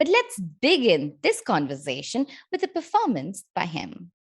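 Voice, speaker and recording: Vocal fry runs through this woman's voice. She talks at a moderate pace. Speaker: podcast host. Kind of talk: podcast interview host.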